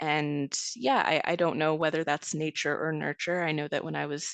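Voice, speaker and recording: A woman with a Canadian accent speaks in a very deep, low voice with vocal fry and ordinary pitch variation. Her pace is fairly quick, the sound dry and close with no echo, and the background quiet. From Greater Toronto Area suburb, Canada. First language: Serbian. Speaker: essayist. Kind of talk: interview.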